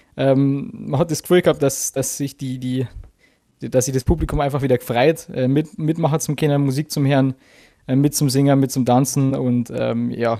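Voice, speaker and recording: Dark and mellow in tone, this man's voice sits at medium pitch. He keeps a moderate pace and fairly even intonation. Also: very clean recording, silent background. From Bavaria, Chiemgau. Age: 20s. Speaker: guitarist. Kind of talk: interview.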